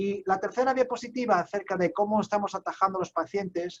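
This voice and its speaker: This is a man talking. His pitch moves up and down in an ordinary way. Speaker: psychiatrist, medical lecturer. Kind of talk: medical conference lecture. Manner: halting, many fillers.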